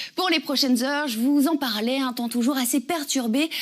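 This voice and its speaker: High in pitch, a woman speaks with ordinary pitch variation. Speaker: TV weather presenter and radio host. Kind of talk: TV weather forecast.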